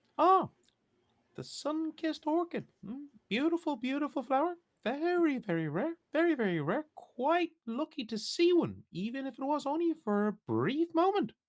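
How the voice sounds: A put-on character voice pitched high moves at a moderate pace. The recording is very clean with a silent background.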